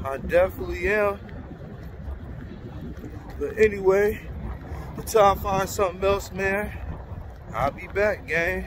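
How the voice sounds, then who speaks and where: A man's voice with big swings in loudness, a fairly slow pace and long, frequent pauses, dry with no echo, over noticeable background noise. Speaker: vlogger. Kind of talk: casual vlog chat. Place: street. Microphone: phone near.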